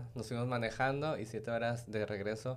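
A man with a Mexican accent, at a moderate pace and with fairly even intonation. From Mexico. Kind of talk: casual interview.

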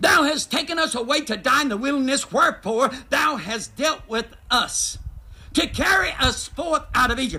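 An extremely high-pitched man in a Southern US accent, with an animated tone, lively intonation and a raised, projected voice. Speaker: guest preacher. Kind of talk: sermon to congregation in cars, preacher in full flow, call-and-response. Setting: drive-in church, congregation in vehicles. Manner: animated, emphatic, urging, repeats phrases and invites 'amen'.

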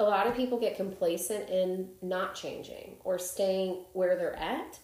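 A woman with an American accent has a plain, everyday voice, speaking at a moderate pace with ordinary pitch variation. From Chicago. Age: 30s. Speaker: podcast host. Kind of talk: casual interview chat.

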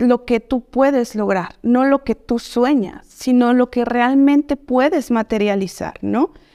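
Speaking very slowly, a woman uses a high pitch. The recording is very clean with a silent background and a dry, close sound with no echo. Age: 20s. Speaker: psychologist. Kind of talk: interview.

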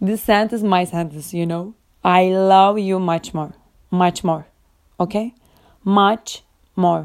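Speaking in a Turkish accent, a woman goes at a very slow pace. Her intonation is fairly even, with long, frequent pauses. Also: medium pitch for a woman. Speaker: podcaster. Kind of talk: casual monologue. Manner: halting.

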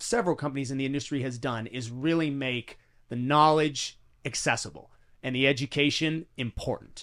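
A man with a plain, everyday voice and a fairly high pitch speaks at a moderate pace with ordinary pitch variation, in a very clean recording with a silent background. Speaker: fitness podcast host. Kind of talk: casual interview.

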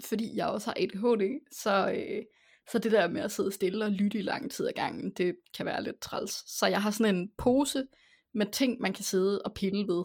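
In a very clean recording with a silent background, a woman speaks with an ordinary speaking voice. Her pitch is fairly high, her pace fairly slow, with ordinary pitch variation. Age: 20s. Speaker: podcast host. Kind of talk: casual chat.

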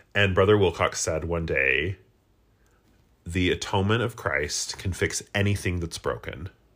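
A man with a very deep, low pitch and vocal fry speaks at a moderate pace with ordinary pitch variation. Very clean recording, silent background. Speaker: podcast co-host. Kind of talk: casual comedic chat. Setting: at home with a cat. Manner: animated.

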